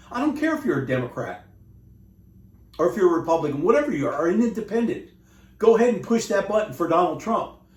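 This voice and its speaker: Speaking very fast in a high voice with an American accent, a man swings very widely in pitch and leaves long, frequent pauses. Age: 60s. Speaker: war veteran and vlogger. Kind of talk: rant. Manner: animated.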